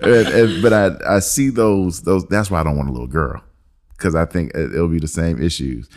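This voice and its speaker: Very deep and low, a man's voice moves at a moderate pace. His intonation is lively. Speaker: podcast host. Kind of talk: casual chat, joking banter.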